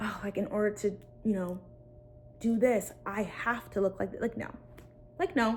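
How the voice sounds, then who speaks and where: Pausing long and often, a woman speaks in an animated tone with ordinary pitch variation. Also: fairly high pitch for a woman. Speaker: content creator vlogger. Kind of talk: casual talking-head vlog. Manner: fast.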